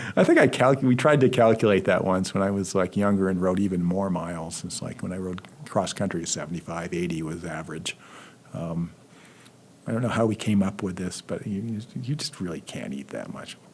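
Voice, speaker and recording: A man with a very deep, low pitch speaks at a fairly quick pace, his pitch varying in an ordinary way while his loudness swings widely. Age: 60s. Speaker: history professor. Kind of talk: casual interview. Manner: hesitant, many fillers.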